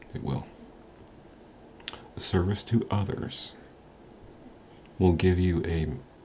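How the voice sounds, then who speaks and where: A man with a very deep, low pitch speaks at a very slow pace with fairly even intonation and long, frequent pauses. Audible room echo and noticeable background noise accompany him. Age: 40s. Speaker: motivational vlogger. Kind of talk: motivational talk to camera. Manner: casual, hesitant with frequent ums.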